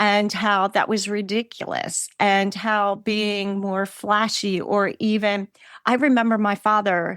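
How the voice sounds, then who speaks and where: A woman with an unremarkable speaking voice talks at a fairly slow pace and medium pitch. The sound is dry and close, with no echo. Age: 50s. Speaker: podcast host and past life regressionist. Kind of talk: casual interview chat.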